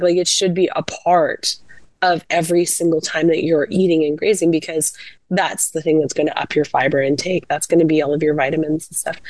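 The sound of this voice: Putting on a raspy, hoarse character voice, a woman speaks fairly low and fairly quickly in a monotone, flat delivery.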